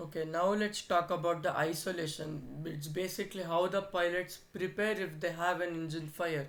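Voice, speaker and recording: A man's high-pitched, flat, monotone voice at a moderate pace with hardly any pauses. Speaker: aviation explainer. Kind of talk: tutorial. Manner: halting, stuttering.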